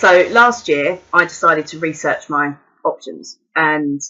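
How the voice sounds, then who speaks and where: A woman with a southern English accent speaks at a fairly low pitch. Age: 30s. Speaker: mature university student. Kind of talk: personal testimony. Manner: hesitant, with fillers and repetitions.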